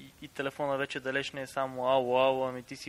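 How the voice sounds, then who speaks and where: A man's medium-pitched voice with an eastern Bulgarian accent. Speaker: podcast guest. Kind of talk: casual podcast talk.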